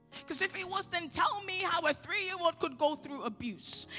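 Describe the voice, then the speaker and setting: Faint music plays in the background. A woman speaks with lively intonation at an extremely high pitch. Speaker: spoken word poet. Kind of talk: spoken word poetry performance. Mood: angry, pleading. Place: hall. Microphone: handheld.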